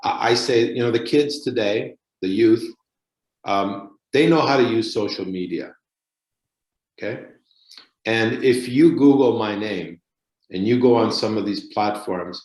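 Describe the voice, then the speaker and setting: A man with a Canadian accent speaks at a fairly slow pace, using long, frequent pauses. His pitch is medium, with ordinary pitch variation. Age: 60s. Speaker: municipal politician. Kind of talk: interview. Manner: animated.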